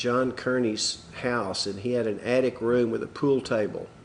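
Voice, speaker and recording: A man of medium pitch speaks in a Texas accent at a fairly slow pace. His intonation stays fairly even over noticeable background noise. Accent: Texas drawl. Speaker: musician. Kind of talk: interview answer.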